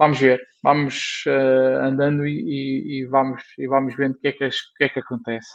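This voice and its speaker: This man's pitch is fairly high. His intonation stays flat and monotone. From northern Portugal, Porto area. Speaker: comic book artist and amateur rally rider. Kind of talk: casual chat.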